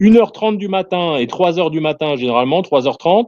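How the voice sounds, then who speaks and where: With a non-native accent, a man talks in a high pitch and a dark, mellow tone, his intonation lively against a quiet background. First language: not French (speaking French). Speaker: soldier. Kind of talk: casual chat. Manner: halting, many hesitations.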